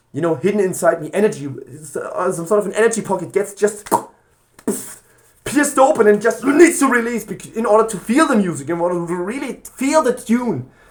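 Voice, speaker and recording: A man speaks loudly in a high pitch. His voice shows very wide pitch swings. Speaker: gaming vlogger. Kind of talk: spontaneous casual monologue. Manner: halting, many false starts and fillers.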